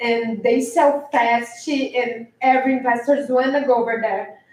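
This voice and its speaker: Someone with a non-native accent speaks at a fairly slow pace with fairly even intonation. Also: woman. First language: not English. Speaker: public commenter, property investor. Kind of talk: public comment at city meeting. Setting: city commission meeting. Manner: halting.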